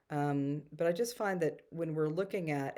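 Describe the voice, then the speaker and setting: A woman with a very deep, low pitch and ordinary pitch variation is heard on a very clean recording with a silent background. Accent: Texan. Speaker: spiritual storyteller and energy healer. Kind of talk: casual talk to camera.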